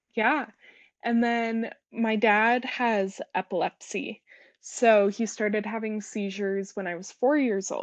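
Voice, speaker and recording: A plain, everyday voice with an American accent speaks at a fairly slow pace. The intonation is fairly even, and the background is quiet. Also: woman, fairly high pitch for a woman. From US. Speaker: guest sharing mental health story. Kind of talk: interview.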